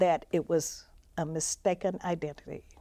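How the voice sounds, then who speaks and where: A woman with a Mississippi accent and a dark, mellow tone speaks at a fairly slow pace with fairly even intonation on a very clean recording with a silent background. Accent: Southern US, Mississippi. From Mississippi (Macomb). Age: 70s. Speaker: civil rights activist and author. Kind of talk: interview testimony.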